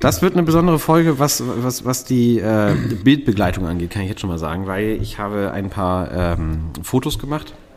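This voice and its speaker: Hardly pausing, a man talks at a moderate pace with a fairly low pitch and very wide pitch swings. Noticeable background noise runs underneath. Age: 30s. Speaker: podcast co-host. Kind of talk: casual chat. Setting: pub.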